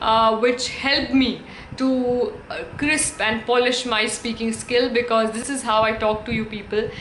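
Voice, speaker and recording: Amid audible room echo and noticeable background noise, a woman speaks at a moderate pace. Her pitch is fairly high and her intonation fairly even. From India. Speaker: English teacher and YouTuber. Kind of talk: tutorial. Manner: halting, many fillers.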